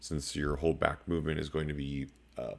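This man has a very deep, low pitch. He talks at a fairly quick pace. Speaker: fitness vlogger. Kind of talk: tutorial. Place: home room. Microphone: webcam.

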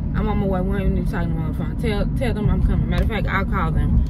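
A woman speaks with a dry, echo-free sound amid loud background noise. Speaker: vlogger. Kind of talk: casual vlog chat, storytelling. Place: car.

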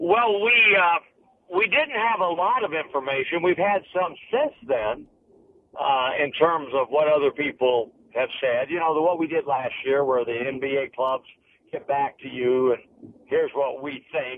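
Over light background noise, a man talks at a fairly slow pace in a dry sound with no echo. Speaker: basketball coach. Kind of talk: interview answer. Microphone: phone line.

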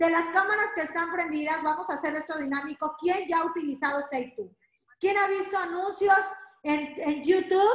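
With an animated tone and ordinary pitch variation, a woman speaks at an extremely high pitch and moderate pace, with audible room echo and a quiet background. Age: 40s. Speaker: direct sales entrepreneur. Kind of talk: sales pitch. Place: home room. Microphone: video call.

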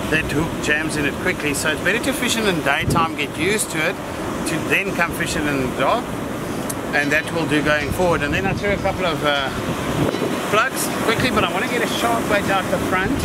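A man at a fairly quick pace against loud background noise. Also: dry sound with no echo. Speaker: presenter. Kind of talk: tutorial. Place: waterside.

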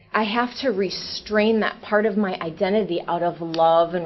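A woman talks while noticeable noise runs in the background. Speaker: public commenter at council meeting. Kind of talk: public comment.

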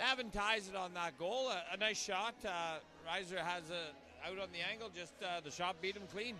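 A man's raised, projected voice, high in pitch with ordinary variation, moderate pace, dry sound with no echo, light background noise. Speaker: hockey colour commentator. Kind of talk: live hockey colour commentary, analysing plays between goals. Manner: conversational, filler-heavy, with hesitations. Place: stadium. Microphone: headset.

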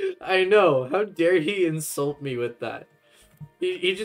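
The clip has a natural reading voice. It is heard throughout.

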